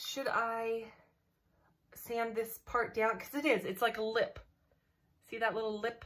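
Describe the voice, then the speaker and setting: A woman talks at a fairly slow pace in a somewhat breathy voice. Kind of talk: casual vlog chat. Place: home room. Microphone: webcam.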